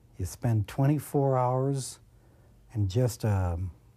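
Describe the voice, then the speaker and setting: A man with an American accent speaks very slowly at a medium pitch, with ordinary pitch variation and a somewhat breathy, dark, mellow tone. The recording is very clean, with a silent background. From Brooklyn, New York. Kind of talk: documentary interview testimony.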